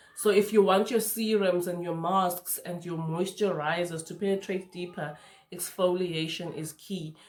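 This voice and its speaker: A woman has an unremarkable speaking voice with a fairly low pitch and a moderate pace. Her intonation is fairly even, though her loudness swings widely. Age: 30s. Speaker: skincare youtuber. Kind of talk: tutorial. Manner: casual, conversational.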